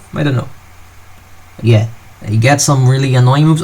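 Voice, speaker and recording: A man speaks with a non-native accent and ordinary pitch variation over noticeable background noise. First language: not English. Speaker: gaming commentator. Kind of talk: post-game commentary. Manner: casual, halting.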